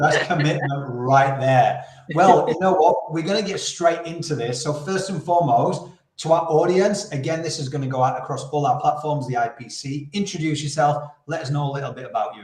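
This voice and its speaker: In a room with audible echo, a man with a Yorkshire accent talks fairly quickly at a fairly high pitch with ordinary pitch variation. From Yorkshire, northern England. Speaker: podcast host, campaign founder. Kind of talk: interview. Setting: live video stream.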